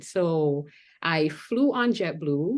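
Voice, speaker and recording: A woman's fairly low voice with a slight Jamaican accent. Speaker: pageant contestant and school counselor. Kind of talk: panel interview.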